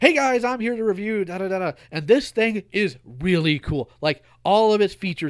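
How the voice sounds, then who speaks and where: A man does a put-on character voice at a high pitch. He keeps a moderate pace with hardly any pauses. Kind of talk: youtuber review talking voice. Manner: insincere, upbeat, put-on.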